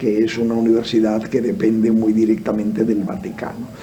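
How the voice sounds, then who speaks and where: A man talks amid noticeable background noise, with audible room echo around his voice. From Spain. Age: 70s. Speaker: theologian and philosopher. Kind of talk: radio interview. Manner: halting, many fillers.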